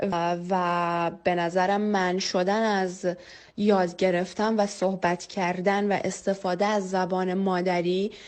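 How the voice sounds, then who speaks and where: In a Kurdish accent, a woman talks very slowly at a medium pitch, her loudness very even and her intonation monotone and flat. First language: Kurdish (speaking Persian). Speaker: interviewee on mother tongue. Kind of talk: testimony. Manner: hesitant, many filler sounds.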